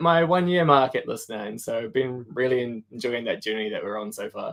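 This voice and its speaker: Very wide pitch swings mark this man's medium-pitched voice as he talks at a fairly quick pace. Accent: New Zealand. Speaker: product design manager. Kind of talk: casual interview chat.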